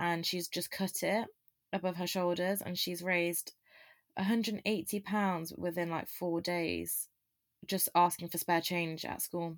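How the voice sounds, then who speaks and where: The recording is very clean, with a silent background. A woman with a fairly low pitch speaks fairly slowly in a monotone with flat intonation. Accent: English Midlands. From English East Midlands (Loughborough). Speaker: university student. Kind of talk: casual chat.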